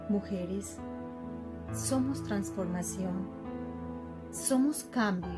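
A woman with an Antioquian accent speaks at a very slow pace over clear music in the background. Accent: Colombian, Antioquia. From Colombia. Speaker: poet. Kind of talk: closing message. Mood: grateful, inspirational. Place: home room. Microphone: phone near.

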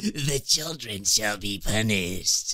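In a put-on character voice, a man speaks at medium pitch and a fairly slow pace, with a menacing tone. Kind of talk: commentary. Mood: playful mock-sinister joke.

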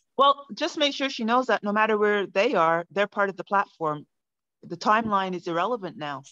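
Bright and sharp in tone, a woman talks at a fairly quick pace with lively intonation against a quiet background. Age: 50s. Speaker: NLP practitioner and coach. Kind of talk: business self-introduction in online meeting. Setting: video call. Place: home room. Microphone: video call.

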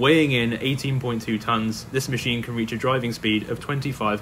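Against light background noise, a man talks at a moderate pace with fairly even intonation. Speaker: farming video channel host. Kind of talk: documentary narration.

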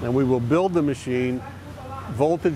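A man talks over loud background noise. The sound is dry with no echo. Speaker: company guide on factory tour. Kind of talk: guided tour explanation.

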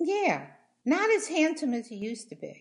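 This woman's voice carries vocal fry over a quiet background. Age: 70s. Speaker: interviewed mother. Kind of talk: interview answer. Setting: video call. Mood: chatty, opinionated. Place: home room. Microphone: video call.

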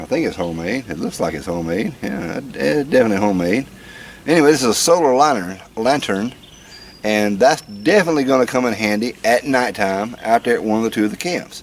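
Light background noise sits behind a man's voice. He talks at a fairly quick pace with very wide pitch swings. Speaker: vlogger. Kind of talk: casual vlog chat. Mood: wry, joking. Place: garden.

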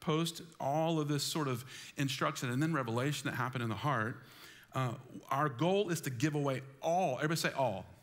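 The speaker is a man with ordinary pitch variation. He goes at a fairly quick pace. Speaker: pastor. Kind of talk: sermon. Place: church.

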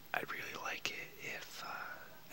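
The voice belongs to a man, who whispers. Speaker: vlogger. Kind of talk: casual vlog chat. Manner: soft, hushed close-up talking. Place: home room. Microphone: webcam.

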